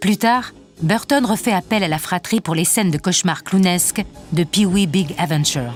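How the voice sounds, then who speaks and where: With music in the background, a woman talks at a moderate pace and medium pitch. Her intonation is lively and her loudness very even. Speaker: narrator. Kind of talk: documentary narration.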